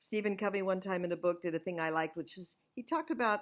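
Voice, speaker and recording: A woman with an American accent speaks loudly at a fairly quick pace. Her tone is animated. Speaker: author and scripture study teacher. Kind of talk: inspirational talk.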